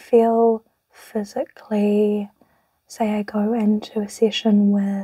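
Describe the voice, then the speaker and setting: Soft-spoken, this speaker takes things rather slowly. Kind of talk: casual talk to camera.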